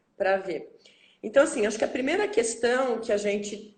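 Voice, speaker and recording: Room echo can be heard clearly. Through it, a woman talks. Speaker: school director. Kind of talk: interview. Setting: video call. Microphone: poor signal reported by viewers.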